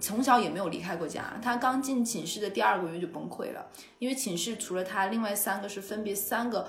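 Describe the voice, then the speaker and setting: A woman with a Northeastern Chinese accent at a fairly quick pace, amid noticeable background noise and audible room echo. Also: medium pitch for a woman, ordinary pitch variation. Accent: Northeastern Mandarin. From northeast China. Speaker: podcast co-host. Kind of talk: casual chat.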